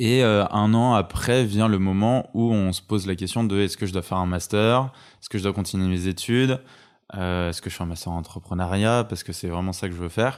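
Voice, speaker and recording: A man speaks at a fairly quick pace in a normal speaking voice, fairly low in pitch, with fairly even intonation. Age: 20s. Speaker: entrepreneur. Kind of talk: casual chat. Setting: at home.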